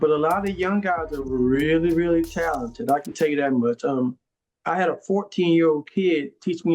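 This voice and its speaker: Using an unremarkable speaking voice, a man with an American accent talks at a moderate pace, his fairly high pitch showing ordinary variation. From northern New Jersey. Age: 60s. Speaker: audio engineer and music producer. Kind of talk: interview.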